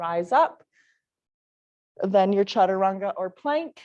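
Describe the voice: A woman speaks at a fairly slow pace. Her intonation is lively. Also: slightly mellow tone.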